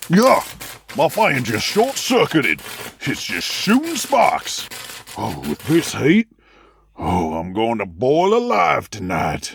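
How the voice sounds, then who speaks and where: Using a put-on character voice, a man speaks gruffly and fairly slowly at a fairly high pitch, with long, frequent pauses. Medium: audio drama. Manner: gruff, bullying.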